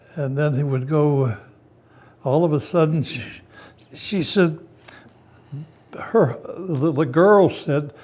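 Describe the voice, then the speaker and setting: Long, frequent pauses mark this very slow delivery from a man with an American accent, who has a fairly high pitch and ordinary pitch variation. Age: 90s. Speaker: war veteran. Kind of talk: interview. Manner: halting.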